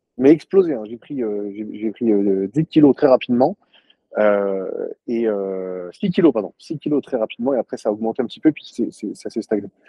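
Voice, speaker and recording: Speaking fairly slowly, a man with a medium-pitched voice uses lively intonation. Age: 30s. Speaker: CrossFit gym owner. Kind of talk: interview. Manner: halting, many fillers.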